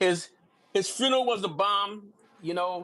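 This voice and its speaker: Raised and projected, the voice has a bright, sharp tone and ordinary pitch variation. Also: man. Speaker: livestream guest. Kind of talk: casual chat. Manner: fast.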